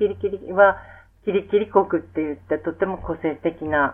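A woman has a normal speaking voice at a medium pitch. She goes at a fairly slow pace with ordinary pitch variation. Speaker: music therapist. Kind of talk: interview. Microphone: poor audio quality.

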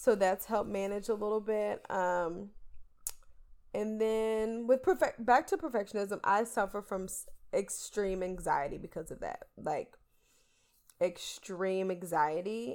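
Speaking at a fairly slow pace, a woman with an unremarkable speaking voice keeps medium pitch and ordinary pitch variation on a very clean recording with a silent background. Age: 20s. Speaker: podcast co-host. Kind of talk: casual chat.

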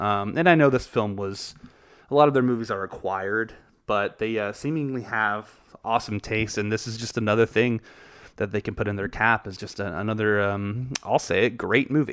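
A man speaks in a normal speaking voice at a moderate pace with a fairly low pitch. His pitch varies in an ordinary way against a quiet background. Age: 30s. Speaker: podcast host, film reviewer. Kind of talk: solo podcast monologue, film review. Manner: casual, many filler words.

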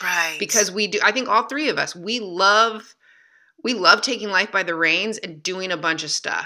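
In a Midwestern American accent, the speaker uses a bright, sharp tone with ordinary pitch variation at a moderate pace, on a very clean recording with a silent background. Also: woman. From Michigan, US. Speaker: literary and speaking agent. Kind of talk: casual chat.

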